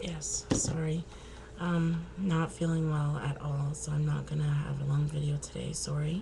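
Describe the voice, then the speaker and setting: A woman speaking at a fairly slow pace over noticeable background noise. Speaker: crocheter. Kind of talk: casual talk to camera.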